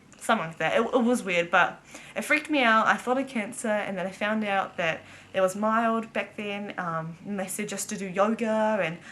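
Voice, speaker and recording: With a New Zealand accent, the speaker has a bright, sharp tone, ordinary pitch variation and a moderate pace. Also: woman, medium pitch for a woman. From New Zealand, Auckland. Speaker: vlogger. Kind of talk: casual chat. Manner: casual, filler-heavy.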